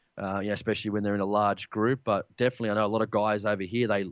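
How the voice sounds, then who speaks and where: In an Australian accent, a man speaks very fast. His fairly low voice is monotone and flat. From Australia, Sydney. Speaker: hunting podcast host. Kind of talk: interview. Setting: Skype call.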